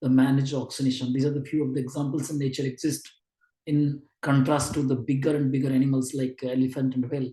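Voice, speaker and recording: Dark and mellow in tone yet fairly high in pitch, a man's voice comes through somewhat breathy. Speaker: neonatology lecturer. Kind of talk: online lecture. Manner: halting.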